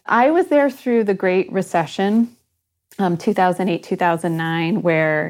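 On a very clean recording with a silent background, a woman speaks with a Midwestern American accent. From Michigan. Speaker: museum organization CEO. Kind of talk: interview.

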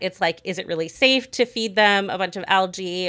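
A woman speaks in a bright, sharp tone on a very clean recording with a silent background. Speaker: science journalist and podcast host. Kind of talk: news discussion.

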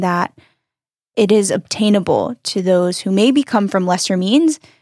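A woman with an ordinary speaking voice and an American accent talks at a medium pitch and moderate pace in a very clean recording with a silent background and a dry, close sound with no echo. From North Carolina. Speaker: emigrant, barista. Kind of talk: casual interview. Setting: studio.

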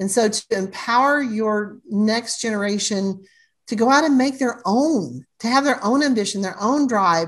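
A woman with an unremarkable speaking voice, fairly high pitch, ordinary pitch variation and a moderate pace, over a quiet background. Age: 60s. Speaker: family legacy planner and author. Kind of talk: podcast interview.

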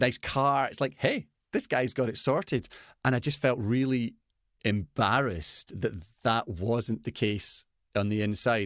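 Speaking at a fairly slow pace with a Scottish accent, a man comes through on a very clean recording with a silent background and a dry, close sound with no echo. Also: medium pitch for a man, ordinary pitch variation. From Scotland. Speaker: business coach for fathers. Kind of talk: interview.

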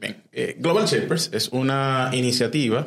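Pitch varying in an ordinary way, a man talks fairly slowly. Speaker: youth civic organization member. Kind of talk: interview. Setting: studio. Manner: halting, many fillers.

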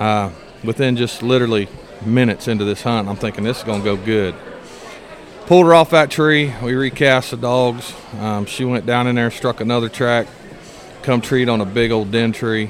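A man with an American accent, medium pitch and ordinary pitch variation, moderate pace broken by long, frequent pauses, over noticeable background noise. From Indiana. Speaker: coon hunter. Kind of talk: casual interview. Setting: event venue.

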